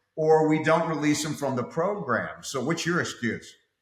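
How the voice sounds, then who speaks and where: Audible room echo surrounds this man's voice. He speaks at a fairly quick pace with a fairly high pitch. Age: 60s. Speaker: fitness coach. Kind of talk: casual interview.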